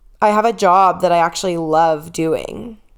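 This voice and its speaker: A woman at a moderate pace with an unremarkable speaking voice and a medium pitch. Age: 30s. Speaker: podcast host and fitness coach. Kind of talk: personal podcast monologue. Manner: emotional, candid.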